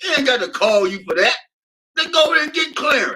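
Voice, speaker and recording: A man's animated, raised and projected voice. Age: 70s. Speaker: talk show host. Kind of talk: panel discussion. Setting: live-streamed show.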